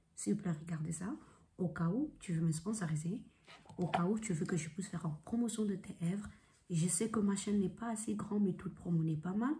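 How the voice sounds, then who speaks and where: Somewhat breathy and dark, mellow in tone, a woman talks fairly quickly at a medium pitch with ordinary pitch variation. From Congolese heritage. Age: 20s. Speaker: vlogger. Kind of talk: casual vlog monologue.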